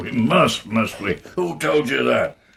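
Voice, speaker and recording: Putting on a raspy character voice, a man speaks at a medium pitch and a fairly slow pace. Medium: audio drama. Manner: terse, gruff.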